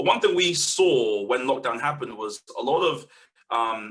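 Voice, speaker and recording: Speaking in a London accent, a man keeps a moderate pace. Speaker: community media organiser. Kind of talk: webinar panel talk. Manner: halting, many fillers and repeats.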